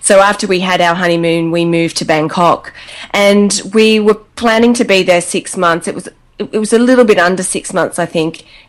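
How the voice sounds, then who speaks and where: With an Australian accent, a woman speaks at a moderate pace. Her pitch is medium. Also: fairly even intonation. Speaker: travel blogger. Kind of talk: casual interview chat.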